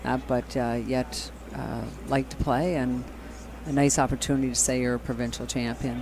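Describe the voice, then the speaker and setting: Against noticeable background noise, a man speaks at a fairly quick pace. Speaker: curling commentator. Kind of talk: live commentary. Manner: quiet at first, then louder.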